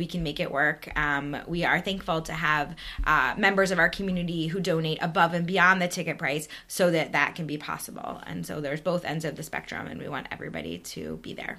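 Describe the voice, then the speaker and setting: A woman with an American accent and a normal speaking voice, fairly low in pitch, with fairly even intonation, a fairly quick pace and hardly any pauses. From US East Coast, New York area. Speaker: synagogue board vice president. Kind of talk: interview.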